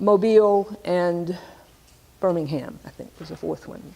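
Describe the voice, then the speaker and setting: A woman with an American accent talks at a moderate pace in an unremarkable speaking voice. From US South, Alabama (Tuskegee). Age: 60s. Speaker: scholar and activist. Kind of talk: lecture. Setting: stage with audience.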